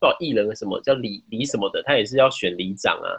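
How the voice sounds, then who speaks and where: A man is speaking. His voice has vocal fry. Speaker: podcast guest. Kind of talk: casual chat. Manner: halting, repeats words.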